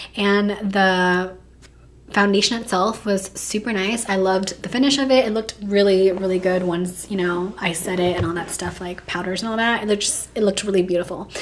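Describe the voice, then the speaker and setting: Someone talks at a fairly quick pace with noticeable background noise. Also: woman, medium pitch for a woman. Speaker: beauty youtuber. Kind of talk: casual makeup review. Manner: chatty, animated.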